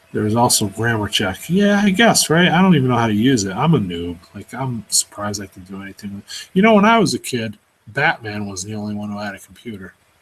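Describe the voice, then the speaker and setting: This man talks at a very fast pace in a fairly low pitch. His intonation is lively, with big swings in loudness. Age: 60s. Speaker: homestead renovator streaming live. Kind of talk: casual live stream chat reading viewer comments. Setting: live stream from a construction site. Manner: conversational, thinking aloud.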